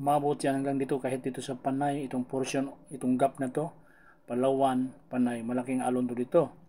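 A man speaks at a fairly quick pace in a dark, mellow tone with monotone, flat intonation. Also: medium pitch for a man. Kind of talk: weather report. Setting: screen-share video with voiceover. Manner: casual, conversational Taglish weather explainer, talks viewers through the map.

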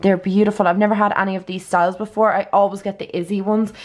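This woman speaks with an Irish accent. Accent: Irish (Louth). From Ireland, Dundalk (County Louth); Ireland. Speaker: beauty vlogger. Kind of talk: casual vlog chat. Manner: animated. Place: home room. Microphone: phone near.

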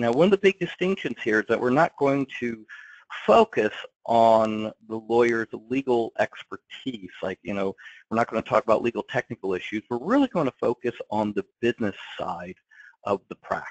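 An ordinary speaking voice from a man, medium in pitch, at a moderate pace, with a dry, close sound and no echo. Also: lively intonation, quiet background. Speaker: law practice coach and attorney. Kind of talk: interview. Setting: webinar call.

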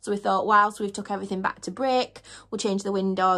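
A woman talks at a fast pace in a fairly bright tone, her intonation fairly even and touched with vocal fry.

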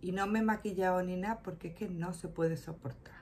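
Light background noise runs behind a woman with a fairly low voice. She talks at a moderate pace. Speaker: shopping vlogger. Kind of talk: casual vlog chat. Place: home room. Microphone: phone near.

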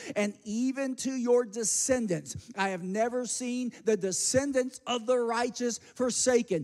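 In an animated tone, a man speaks at an extremely high pitch with ordinary pitch variation against a quiet background. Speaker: pastor. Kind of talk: sermon, rising preacher's exhortation with call-and-response to the congregation. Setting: church. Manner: fast, run-on delivery piling up phrases without pause; animated and repetitive, prodding the crowd with 'say amen' and 'guys'. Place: church. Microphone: handheld.

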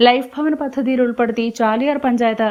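This woman's voice sits fairly high. Her delivery stays monotone and flat. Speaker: news reporter. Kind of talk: news report voice-over.

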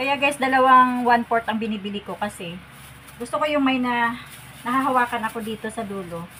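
Noticeable background noise sits under a woman's voice. She speaks at a fairly quick pace in a high pitch with ordinary pitch variation. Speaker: home cook vlogger. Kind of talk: cooking tutorial. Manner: casual, with fillers.

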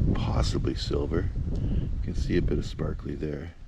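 Music plays behind a man whose voice has a dry sound with no echo. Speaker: rock hound vlogger. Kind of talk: casual vlog chat. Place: open country. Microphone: phone near.

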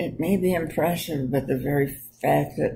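A voice with very wide pitch swings and vocal fry. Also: woman. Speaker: storyteller on history. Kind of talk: casual talk about history. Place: home room. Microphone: webcam.

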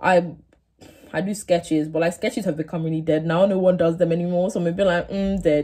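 Over a quiet background, a woman with a fairly low pitch speaks at a fairly quick pace, her somewhat breathy voice dark and mellow in tone, with fairly even intonation. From England. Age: 18. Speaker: YouTuber, university student. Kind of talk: casual vlog to camera. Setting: home, sitting on floor of dorm room. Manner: casual, filler-heavy. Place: home room. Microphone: phone near.

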